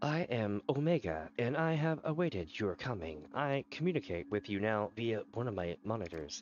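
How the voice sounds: Putting on a robotic character voice, a man talks at a moderate pace and medium pitch with very wide pitch swings and hardly any pauses.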